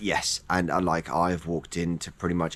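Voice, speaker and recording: With an English accent, a man speaks at a very deep, low pitch. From England. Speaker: personal trainer and fitness vlogger. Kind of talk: casual vlog monologue. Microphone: no wind muffler on mic.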